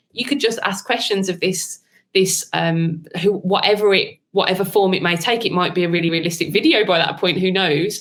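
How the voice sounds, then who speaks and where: Speaking at a fairly quick pace, a woman with a strong Birmingham accent keeps her intonation fairly even. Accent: thick Birmingham. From Birmingham, England. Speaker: marketing consultant, AI trainer. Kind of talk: interview.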